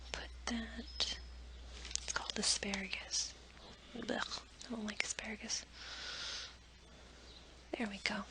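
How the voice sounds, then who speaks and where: A woman whispering at a fairly slow pace, with long, frequent pauses and noticeable background noise. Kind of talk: ASMR craft tutorial. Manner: soft-spoken, whispered.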